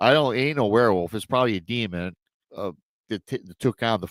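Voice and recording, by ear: The background is quiet. A speaker reads aloud in a natural voice.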